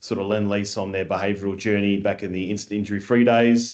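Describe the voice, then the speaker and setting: The background is quiet. The intonation stays monotone and flat. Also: man. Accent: Australian. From Australia. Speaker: construction industry scheme chief executive. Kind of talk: podcast interview.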